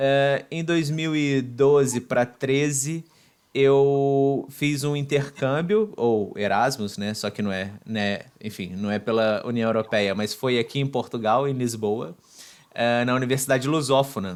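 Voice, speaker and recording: A man at a fairly slow pace, medium in pitch with ordinary pitch variation, on a very clean recording with a silent background. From Brazil, Volta Redonda, Rio de Janeiro state. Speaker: podcast host, guest. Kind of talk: interview. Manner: halting, many fillers.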